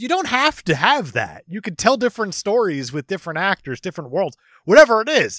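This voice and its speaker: A man projects a raised voice with a bright, sharp tone, very wide pitch swings and a fairly quick pace. The recording is very clean, with a silent background and a dry, close sound with no echo. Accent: American. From New Jersey. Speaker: podcast guest. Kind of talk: casual chat. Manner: animated.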